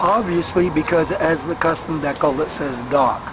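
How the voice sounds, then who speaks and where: Noticeable background noise sits behind a man speaking. He talks at a fairly slow pace with ordinary pitch variation. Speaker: bicycle tourer. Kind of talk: casual equipment walkthrough to camera. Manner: hesitant, many fillers.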